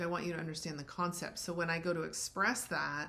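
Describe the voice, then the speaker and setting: A woman speaks in a fairly low pitch with monotone, flat intonation. Audible room echo surrounds her voice. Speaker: relationship coach and podcast co-host. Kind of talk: conversational podcast discussion. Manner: varying tone and volume.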